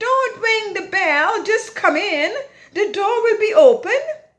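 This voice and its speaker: A female-sounding voice puts on a character at an extremely high pitch. The pace is fairly slow. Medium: read story.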